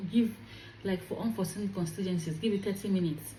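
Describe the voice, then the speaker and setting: In a room with audible echo, a woman with a fairly low pitch speaks at a very fast pace. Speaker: career vlogger. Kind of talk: advice vlog. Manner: animated.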